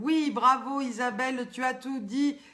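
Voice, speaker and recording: Speaking very slowly in a raised, projected voice, a woman with a southern French accent sounds high-pitched, bright and sharp. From southern France. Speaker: live stream host. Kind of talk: casual live stream chat. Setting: live video stream. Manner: animated.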